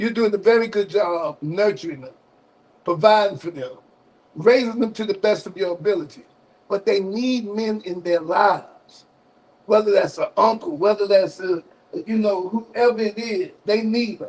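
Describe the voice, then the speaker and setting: With an Alabama accent, this man speaks at a moderate pace in a high voice, his pitch varying in an ordinary way while his loudness swings widely. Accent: Southern US (Alabama). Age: 60s. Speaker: radio call-in show host. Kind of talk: live call-in broadcast.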